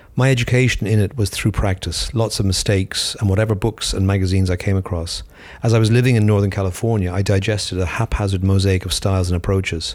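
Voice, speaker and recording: Very fast and with hardly any pauses, a man speaks at a fairly low pitch, somewhat breathy, with fairly even intonation and very even loudness. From Ireland. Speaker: photographer. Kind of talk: scripted reflective statement, pre-recorded audio.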